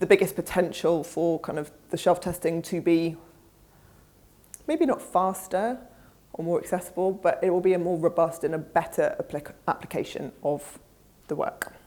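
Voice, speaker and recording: A medium-pitched woman's voice with a British accent, dark, mellow tone and fairly even intonation. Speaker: conference speaker, research executive. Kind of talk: conference presentation and Q&A. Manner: fast.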